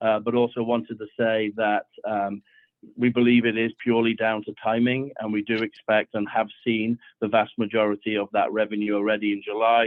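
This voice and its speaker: A man speaks at a medium pitch and a fairly quick pace. His intonation stays monotone and flat. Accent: American. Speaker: district finance officer. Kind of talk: financial report at board meeting. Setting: phone call into meeting. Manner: hesitant, many fillers. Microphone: over the phone.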